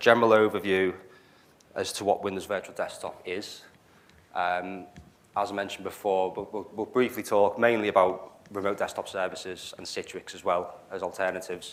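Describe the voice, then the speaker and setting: Fairly low in pitch, a man talks at a moderate pace with a Liverpool accent. His intonation is fairly even, but his loudness swings widely. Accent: Liverpool (Scouse). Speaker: cloud solutions architect, meetup speaker. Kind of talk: technical talk. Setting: meetup venue with live audience. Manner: hesitant, many fillers.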